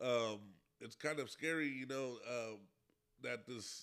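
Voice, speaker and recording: A man with an American accent speaks at a medium pitch and a fairly slow pace. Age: 30s. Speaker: podcast host. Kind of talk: casual monologue. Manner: halting, many fillers.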